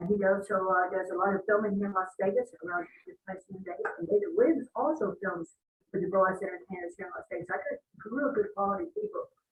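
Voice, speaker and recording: A woman rushes along at a very fast pace, medium in pitch with ordinary pitch variation and big swings in loudness. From US, raised in travelling circus and carnival. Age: 70s. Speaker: show business veteran and film producer. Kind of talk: interview. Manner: halting, rambling with frequent fillers.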